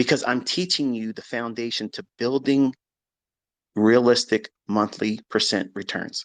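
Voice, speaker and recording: In a quiet background, a man's medium-pitched voice, with ordinary pitch variation, sounds dry and close with no echo. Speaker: trading educator. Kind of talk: live audio chat. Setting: Twitter audio space.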